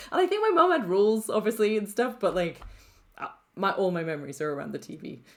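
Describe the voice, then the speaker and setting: A woman's animated, very fast speech at medium pitch, with very wide pitch swings, big swings in loudness and noticeable background noise. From Wales, Bridgend. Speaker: animator and film director. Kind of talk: casual chat.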